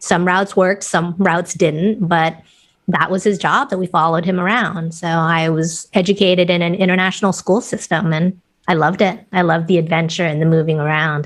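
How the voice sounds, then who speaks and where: Talking at a fairly quick pace with a Californian accent, a woman keeps a fairly low pitch and fairly even intonation. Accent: Californian-sounding American. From Thailand, raised internationally. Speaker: leadership coach. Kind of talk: podcast interview.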